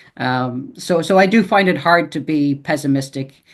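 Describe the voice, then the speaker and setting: A man talks in an Irish accent against a quiet background. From Ireland. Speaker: author and editor. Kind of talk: interview. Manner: hesitant, repeats words.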